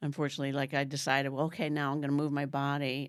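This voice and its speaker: A woman with a very deep, low pitch speaks at a very fast pace with fairly even intonation. The recording is very clean, with a silent background. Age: 60s. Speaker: retreat guest sharing weight-loss journey. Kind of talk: podcast interview, personal story.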